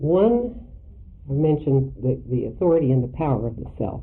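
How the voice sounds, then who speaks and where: There is audible room echo. A woman talks at a fairly slow pace. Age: 60s. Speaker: Jungian analyst lecturer. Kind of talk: lecture. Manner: halting, with frequent fillers.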